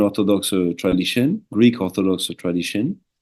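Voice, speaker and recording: A man speaks at a moderate pace with a French accent. His tone is dark and mellow. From southern France, French Alps. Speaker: shaman, former monk. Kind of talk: interview.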